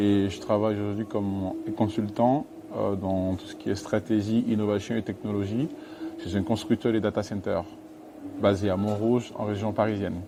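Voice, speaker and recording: Through noticeable background noise, a man speaks at a moderate pace in a fairly low pitch with fairly even intonation. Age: 30s. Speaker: consultant. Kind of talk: interview.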